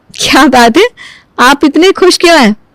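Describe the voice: A woman uses a cartoonish character voice with a high pitch at a moderate pace. The sound is dry and close, with no echo.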